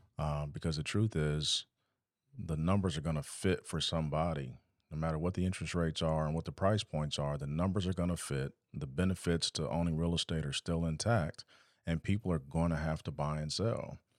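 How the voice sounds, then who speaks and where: Fairly quick and fairly even in intonation, a man with an American accent speaks at a very deep, low pitch, the sound dry and close with no echo on a very clean recording with a silent background. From Pasadena, California. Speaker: real estate agent. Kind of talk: casual chat.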